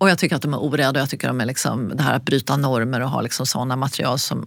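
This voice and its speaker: The woman has a very deep, low pitch. Noticeable background noise accompanies her speech. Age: 60s. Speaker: designer and yoga teacher. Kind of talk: interview.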